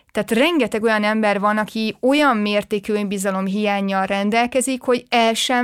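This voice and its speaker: A woman at a moderate pace with hardly any pauses, energetic in tone, with ordinary pitch variation. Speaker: podcast host. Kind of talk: casual chat.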